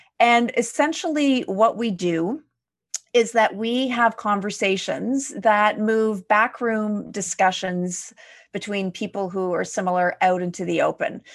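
A woman with a Canadian accent talks fairly slowly at a fairly high pitch, with ordinary pitch variation and an unremarkable speaking voice. The background is quiet. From Quebec, Canada (Montreal area). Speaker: leadership development consultant and podcaster. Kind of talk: casual interview conversation.

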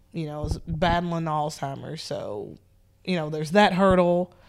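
A woman speaks fairly slowly in a Southern US accent with fairly even intonation. The recording is very clean, with a silent background. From US South, Nashville, Tennessee. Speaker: police sergeant. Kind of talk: casual interview. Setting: sitting on a couch.

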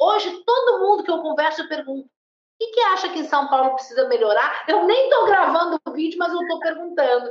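A woman speaks at an extremely high pitch, her voice making very wide pitch swings. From Porto Alegre, southern Brazil. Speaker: livestream co-host. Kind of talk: casual livestream chat.

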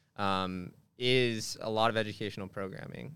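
Monotone, flat intonation from a man at a fairly low pitch. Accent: Californian. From Southern California. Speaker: fraternity staff member. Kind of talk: podcast interview. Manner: halting, frequent repetitions; laughs often.

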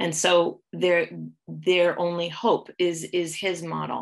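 This woman talks with a Midwestern American accent. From US Midwest, Ohio. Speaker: pharmacology professor. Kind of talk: interview. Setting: video call.

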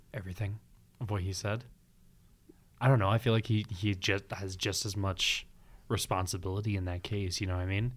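Somewhat breathy and fairly low-pitched, a man speaks at a fairly quick pace with fairly even intonation and long, frequent pauses, in a very clean recording with a silent background. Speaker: podcast host. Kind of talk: casual chat.

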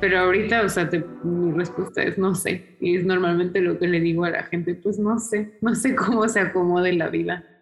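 A woman talks at a medium pitch with hardly any pauses and very even loudness. Music sounds in the background. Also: moderate pace. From Mexico City, Mexico. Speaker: historian. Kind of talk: interview.

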